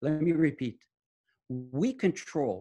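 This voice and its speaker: Somewhat breathy speech with lively intonation comes in a French accent. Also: man. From France. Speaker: medical research scientist and author. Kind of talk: interview. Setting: video call.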